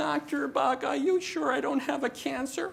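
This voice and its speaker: The put-on character voice is whiny and high-pitched, moving at a moderate pace. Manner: whiny, complaining.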